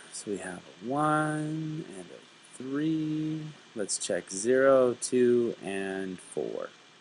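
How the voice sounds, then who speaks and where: Speaking at a very slow pace, a man with a medium pitch uses lively intonation and big swings in loudness. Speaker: math teacher. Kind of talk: tutorial. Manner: casual.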